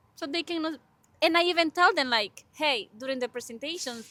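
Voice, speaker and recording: A woman projects a raised voice with a bright, sharp tone. She has a strong Spanish accent and ordinary pitch variation. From Honduras. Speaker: podcast co-host, graduate student. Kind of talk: casual interview chat.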